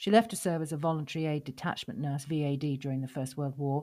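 A woman with a very deep, low pitch and a dark, mellow tone talks at a very fast pace with ordinary pitch variation in a very clean recording with a silent background. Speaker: podcast host and poetry reader. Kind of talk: poem read aloud.

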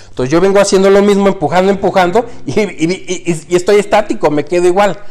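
The pace of this man's speech is fairly quick. His pitch sits high. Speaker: airline pilot turned entrepreneur. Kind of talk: casual chat. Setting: living room at home.

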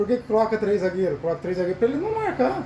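Over noticeable background noise, a man speaks at a very fast pace in a high pitch. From Paraná, southern Brazil. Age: 30s. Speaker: football commentator among coworkers. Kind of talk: casual chat.

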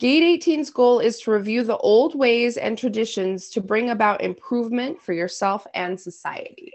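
Here is a woman with an unremarkable speaking voice and fairly high pitch. She keeps a moderate pace with lively intonation. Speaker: podcast co-host, works long shifts. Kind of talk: casual chat.

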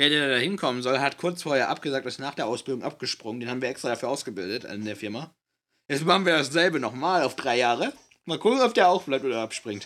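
Delivered at a very fast pace with lively intonation, the bright, sharp voice sits on a very clean recording with a silent background. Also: man, medium pitch for a man. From Bavaria, family from NRW. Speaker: podcast co-host, trainee in IT. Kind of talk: casual chat.

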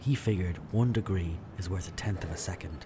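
There is noticeable background noise. A man with a very deep, low pitch speaks at a moderate pace with fairly even intonation. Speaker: documentary narrator. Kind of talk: sports documentary narration, scripted and storytelling. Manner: measured, vivid, storytelling delivery.

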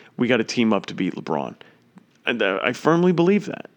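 Against a quiet background, a man speaks at a moderate pace in an animated tone. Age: 20s. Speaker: sports podcast host. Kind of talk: casual solo sports commentary.

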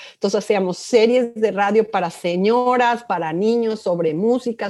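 Her pitch shifts in an ordinary way as the woman, with an unremarkable speaking voice, talks at a fairly slow pace. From Mexico City. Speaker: sociology professor. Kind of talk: interview.

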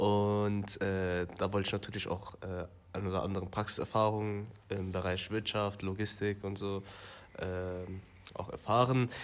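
Pitched fairly low, a man speaks at a moderate pace in a monotone, flat intonation, with long, frequent pauses. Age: 20s. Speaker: business developer. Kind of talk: interview. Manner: hesitant, many fillers.

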